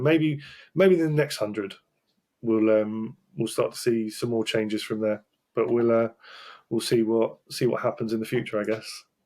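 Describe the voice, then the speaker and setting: A man with a British accent speaks at a fairly quick pace, his intonation lively. The recording is very clean with a silent background. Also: medium pitch for a man. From Britain. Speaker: talent acquisition specialist. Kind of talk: podcast interview. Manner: animated.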